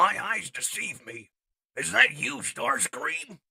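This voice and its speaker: A raspy man uses a put-on character voice at a fairly slow pace. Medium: audio drama. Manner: formal, commanding.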